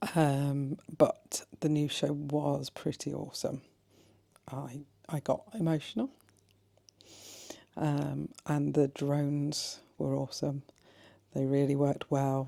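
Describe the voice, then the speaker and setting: A woman speaks quietly in a very deep, low pitch with a dark, mellow tone, monotone flat intonation, a very slow pace and long, frequent pauses. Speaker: travel vlogger. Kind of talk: vlog talking to camera. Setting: hotel room. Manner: speaking quietly.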